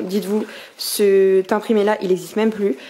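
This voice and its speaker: A woman talks with a fairly high pitch. Noticeable background noise runs under her voice. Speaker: vlogger and small brand owner. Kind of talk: casual vlog talk. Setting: in a shop; at home. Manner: animated; whispering.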